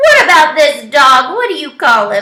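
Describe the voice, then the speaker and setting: A woman's put-on character voice, high-pitched, with very wide pitch swings at a moderate pace. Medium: read story. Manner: folksy, warm.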